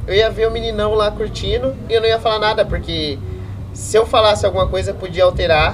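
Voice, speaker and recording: Over noticeable background noise, a man speaks fairly quickly. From Rio Claro, São Paulo state, Brazil. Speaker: beginner stand-up comedian. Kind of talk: casual chat.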